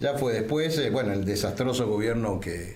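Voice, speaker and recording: A man in a Rioplatense accent, with audible room echo and noticeable background noise. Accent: Argentine Rioplatense Spanish. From Argentina. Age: 60s. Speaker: political leader. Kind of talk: political talk show editorial.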